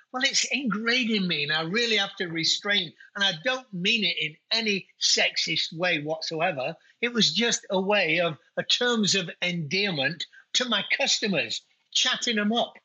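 Here a man with a British accent talks at high pitch and a moderate pace, his intonation lively and his loudness very even. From UK. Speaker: winery owner. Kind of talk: casual chat.

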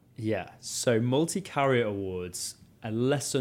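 This man talks at a very slow pace. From northern England, Leeds. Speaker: travel rewards content director. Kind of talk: interview. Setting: on location in London. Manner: animated.

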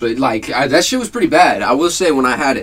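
Music plays in the background as a man talks at a fairly quick pace and medium pitch. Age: 20s. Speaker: podcast co-host. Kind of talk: casual chat.

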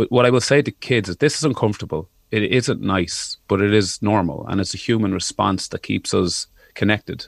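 A man talks at a fairly quick pace in an Irish accent, his pitch fairly low. His intonation shows ordinary pitch variation, and the sound is dry and close with no echo. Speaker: musician and podcaster. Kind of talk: radio interview.

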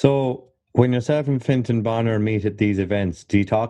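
At a moderate pace, a man speaks with an Irish accent. His pitch shows ordinary variation. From Ireland. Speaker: podcast host. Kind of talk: casual interview chat. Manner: jokey, chatty.

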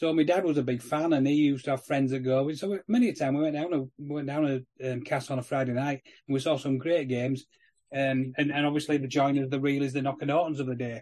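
A man with a Yorkshire accent, a dark, mellow tone, fairly high pitch, fairly even intonation and a very fast pace. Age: 50s. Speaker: rugby league podcast co-host. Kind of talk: casual chat.

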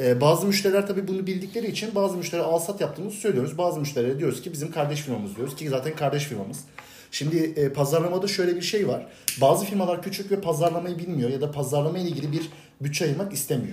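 A man's high-pitched, very fast speech amid noticeable background noise and audible room echo. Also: ordinary pitch variation. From Turkey, Bursa. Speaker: export sales professional. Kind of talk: casual chat.

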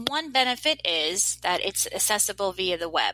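A woman with an American accent has a bright, sharp tone and speaks at a fairly slow pace in a dry, close sound with no echo. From New Jersey. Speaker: middle school technology teacher. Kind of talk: interview.

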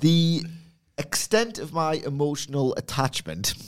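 Very slow speech in a Geordie accent. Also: man. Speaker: wrestling podcast co-host.

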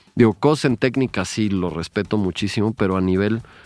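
A man talks at a fairly low pitch in a normal speaking voice. His pitch varies in an ordinary way at a moderate pace. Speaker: visual artist. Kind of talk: casual chat.

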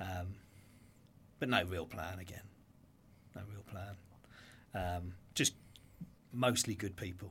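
Speaking with a southern English accent, a man with a very deep, low pitch talks at a fairly slow pace with fairly even intonation, long, frequent pauses, and big swings in loudness. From Brighton, England. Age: 40s. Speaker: entrepreneur. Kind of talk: interview.

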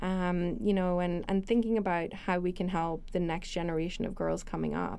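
A woman with an American accent speaks at a moderate pace and fairly low pitch. Her intonation is monotone and flat, her loudness very even. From Northern Ireland. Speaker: technology executive, alumna. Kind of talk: interview, casual conversation.

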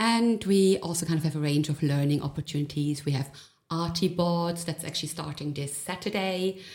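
Somewhat breathy, a woman talks at a fairly low pitch. She keeps a moderate pace and ordinary pitch variation. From Germany. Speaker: gallery creative director. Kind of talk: interview.

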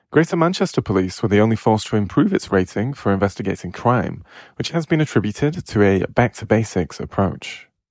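Against a quiet background, a man with a British accent speaks at a fairly quick pace, his fairly low pitch making very wide swings. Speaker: news briefing presenter. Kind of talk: formal newsreading, brisk and even, a headline-by-headline bulletin. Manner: formal; brisk and even-paced.

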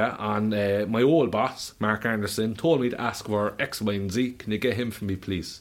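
This man speaks with a Cork accent at a moderate pace. His voice sits fairly low, with ordinary pitch variation. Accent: Cork Irish. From Ireland. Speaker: musician and bar owner. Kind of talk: casual chat; announcement.

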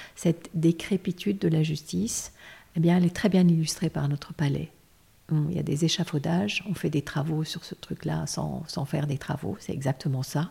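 Her voice is dark and mellow, with vocal fry and a very deep, low pitch for a woman. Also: ordinary pitch variation, moderate pace. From Lebanon. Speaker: lawyer. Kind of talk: interview.

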